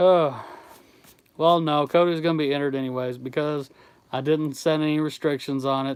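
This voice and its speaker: An American accent, fairly even intonation, long and frequent pauses. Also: man, fairly high pitch for a man, moderate pace. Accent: Southern US accent, Kentucky-like. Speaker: YouTube artist running a giveaway. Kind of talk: livestream chat. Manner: casual, conversational.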